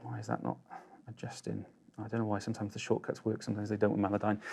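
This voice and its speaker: Mumbling in a put-on character voice, a man speaks at a very fast pace and a fairly low pitch. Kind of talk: casual, tutorial talk.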